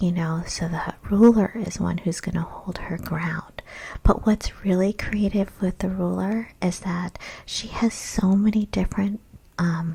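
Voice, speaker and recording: A soft-spoken woman talks in a dark, mellow, somewhat breathy voice at a medium pitch with fairly even intonation. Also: fairly slow pace. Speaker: small business coach. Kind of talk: ASMR webinar presentation. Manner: soft-spoken, relaxing.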